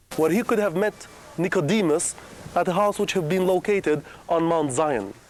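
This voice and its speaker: Fairly quick speech with a Middle Eastern accent. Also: man. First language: Aramaic. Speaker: tour guide. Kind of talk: guided tour talk.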